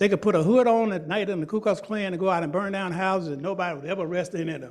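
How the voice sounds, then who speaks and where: A man speaks at a very fast pace in a high voice. The recording is very clean, with a silent background. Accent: American. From US South, Georgia. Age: 70s. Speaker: museum founder and director. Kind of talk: public lecture. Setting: meeting room with live and virtual audience. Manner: animated.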